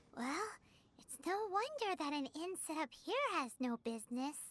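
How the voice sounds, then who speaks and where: A high-pitched, put-on character voice. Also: moderate pace. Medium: video game. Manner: casual, wry.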